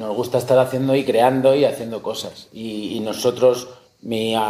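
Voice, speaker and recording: With an unremarkable speaking voice, a man talks at a moderate pace in a medium pitch, his intonation fairly even. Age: 40s. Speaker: taxidermist and hunter. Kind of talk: casual interview.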